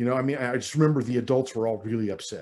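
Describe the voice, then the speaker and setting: Pitch varies in an ordinary way as the man talks in a medium range. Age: 60s. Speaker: minister. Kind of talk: sermon. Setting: online church service.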